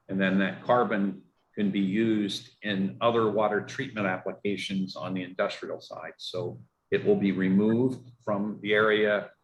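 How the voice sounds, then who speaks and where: With a Pittsburgh accent, a man speaks at a fairly low pitch with fairly even intonation. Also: moderate pace. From Pittsburgh, US. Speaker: water utility engineer. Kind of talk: community meeting Q&A. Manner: halting, many fillers.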